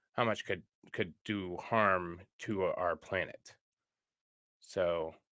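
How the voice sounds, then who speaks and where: A man with a slight Upper Michigan accent speaks at a very slow pace, his loudness very even, with long, frequent pauses. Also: very clean recording, silent background. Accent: slight Yooper. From northern US Midwest (Michigan, not Upper Peninsula). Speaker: streamer. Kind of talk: live stream news reading and commentary. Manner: casual, with hesitations.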